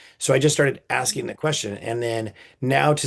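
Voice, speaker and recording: Animated in tone, a man talks at a fairly quick pace with vocal fry and ordinary pitch variation. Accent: American. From California, Napa Valley. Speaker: podcast host, bereaved father. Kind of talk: casual interview conversation. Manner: animated, with many repetitions and fillers.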